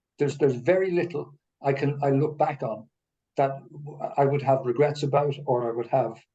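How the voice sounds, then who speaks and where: A man with a fairly high, somewhat breathy voice and a dark, mellow tone speaks at a moderate pace. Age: 70s. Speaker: retiree. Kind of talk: casual chat. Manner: halting.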